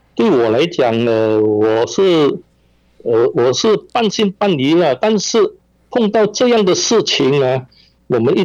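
Against a quiet background, a man talks in a high-pitched voice. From Malaysia, Penang (Hainanese family). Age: 70s. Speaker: victim's family member. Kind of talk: interview. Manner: halting, many fillers.

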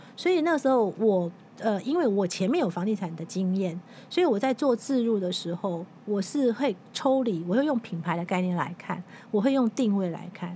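Somewhat breathy and dark, mellow in tone, a woman at medium pitch speaks at a moderate pace with lively intonation. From Taiwan, Taipei. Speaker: magazine editor-in-chief and author. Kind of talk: interview.

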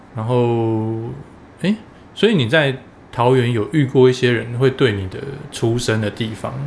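A man speaks at a moderate pace and a medium pitch, with ordinary pitch variation, long, frequent pauses and noticeable background noise. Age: middle-aged. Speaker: podcast co-host. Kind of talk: casual chat.

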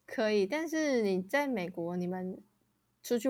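A woman speaks with lively intonation. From Taiwan. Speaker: podcast co-host. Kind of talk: casual chat.

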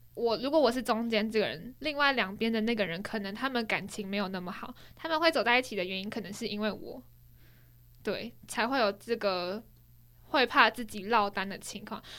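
At a moderate pace, a woman with an unremarkable speaking voice talks at a fairly high pitch with ordinary pitch variation and big swings in loudness. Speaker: podcast co-host. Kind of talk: casual chat.

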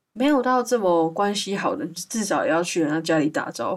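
A woman with a Taiwanese accent, lively intonation and a moderate pace. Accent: Taiwanese Mandarin. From Taiwan, Hualien. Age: 20s. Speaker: podcast host. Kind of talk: casual chat. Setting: remote recording over voice channel.

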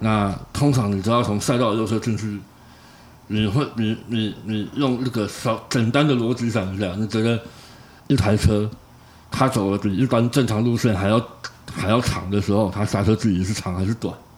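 At a moderate pace, a man speaks in a normal speaking voice, fairly low in pitch, with fairly even intonation. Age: middle-aged. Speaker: podcast co-host, F1 fan. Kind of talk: casual chat.

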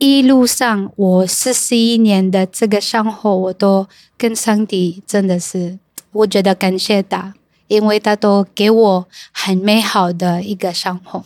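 A woman speaks very slowly, with medium pitch and fairly even intonation. The recording is very clean, with a silent background and a dry, close sound without echo. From Cebu, Philippines. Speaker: English teacher and content creator. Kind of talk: casual chat. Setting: in a car.

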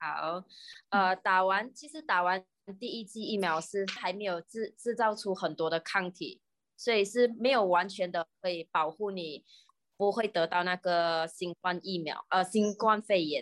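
In a dry, close sound with no echo, a woman with a Malaysian accent speaks at a fairly slow pace in a medium pitch with ordinary pitch variation. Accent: Malaysian Mandarin. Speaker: pharmacist and YouTuber. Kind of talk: casual chat explaining science.

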